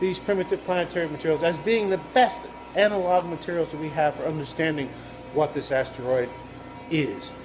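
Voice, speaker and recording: Noticeable background noise runs under a man talking with lively intonation. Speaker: professor. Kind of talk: video blog explainer. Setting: laboratory. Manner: fast.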